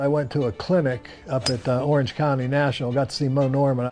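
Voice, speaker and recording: A man talking at a fairly quick pace with fairly even intonation, against noticeable background noise. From US, western Pennsylvania (New Kensington). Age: 70s. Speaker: amateur golfer, financial services businessman. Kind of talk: testimonial interview.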